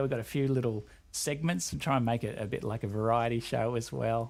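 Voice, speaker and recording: Recorded very cleanly over a silent background, a man with an Australian accent talks at a fairly quick pace in a medium pitch. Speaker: game developer community representative. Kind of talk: casual chat.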